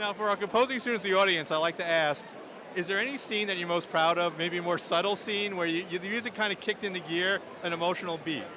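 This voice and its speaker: Over noticeable background noise, a man with a Long Island accent talks very fast in a raised, projected voice, high-pitched and with fairly even intonation. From New York, Long Island. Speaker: awards event interviewer. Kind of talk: red carpet interview. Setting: awards event.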